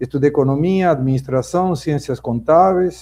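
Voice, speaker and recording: A man's fairly high voice with a dark, mellow tone, ordinary pitch variation and a Spanish accent. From Argentina, Buenos Aires. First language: Spanish (speaking Portuguese). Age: 60s. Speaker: business owner and political commentator. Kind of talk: debate opening statement. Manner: formal.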